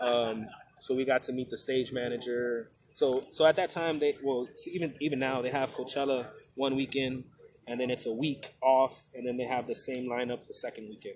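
A man with a normal speaking voice talks with fairly even intonation. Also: medium pitch for a man, moderate pace. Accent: American. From Texas. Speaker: emcee and educator. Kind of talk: casual chat. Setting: outdoors at a bar.

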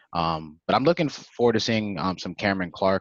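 A man speaks against a quiet background. The sound is dry and close, with no echo. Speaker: podcast co-host. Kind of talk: casual sports podcast chat. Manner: hesitant, filler-heavy.

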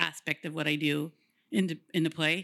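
A woman with an American accent, fairly low-pitched and bright, sharp in tone, with fairly even intonation at a moderate pace, on a very clean recording with a silent background. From Woodland, California. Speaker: graphic designer. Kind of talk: casual interview chat.

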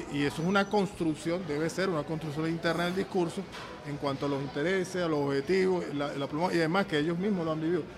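Over noticeable background noise, a man talks at a fairly quick pace in a high voice with fairly even intonation. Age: 60s. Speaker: football coach. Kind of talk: casual chat. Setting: restaurant. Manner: halting.

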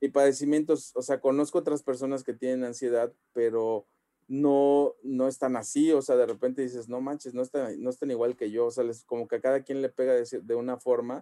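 Speaking fairly quickly with hardly any pauses, a man with a Mexican accent has a medium pitch and a dark, mellow tone. His intonation is monotone and flat, in a dry, close sound with no echo. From Mexico, Xalapa (Veracruz). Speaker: convention organizer and comic store owner. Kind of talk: podcast interview.

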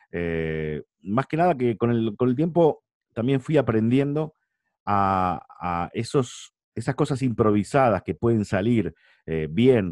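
With very wide pitch swings and a Rioplatense accent, the voice moves at a fairly slow pace in a dry, close sound with no echo and a quiet background. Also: man. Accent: Argentine Spanish (rioplatense). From Argentina, San Nicolás de los Arroyos. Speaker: arena announcer and sports commentator. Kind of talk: casual interview.

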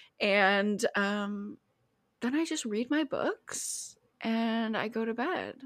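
A woman speaks in a fairly high, bright and sharp voice with an animated tone. The recording is very clean, with a silent background. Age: 20s. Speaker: podcast co-host and therapist. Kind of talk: casual chat.

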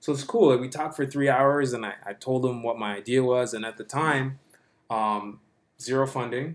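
Speaking in a plain, everyday voice, a man keeps a moderate pace, a medium pitch and fairly even intonation. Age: 30s. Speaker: app founder and CEO. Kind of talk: casual interview.

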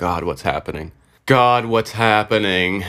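The speech moves at a fairly slow pace with fairly even intonation. The recording is very clean, with a silent background. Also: man. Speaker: podcast host. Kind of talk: casual solo monologue. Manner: rambling, laughs often.

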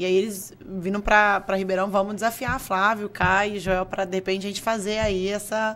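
Speaking at a moderate pace with hardly any pauses, a woman keeps a medium pitch and monotone, flat intonation. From Brazil, Franca (São Paulo state). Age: 30s. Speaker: entrepreneur and investor. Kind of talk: interview. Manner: halting.

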